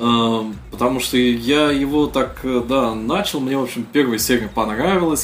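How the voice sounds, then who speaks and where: A man with ordinary pitch variation, with noticeable background noise. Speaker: podcast host. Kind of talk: casual chat.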